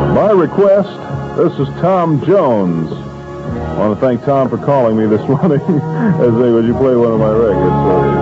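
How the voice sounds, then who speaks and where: Clear music plays in the background. A man speaks over it at a moderate pace. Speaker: radio DJ. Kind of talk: radio DJ morning show patter. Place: booth. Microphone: old recording.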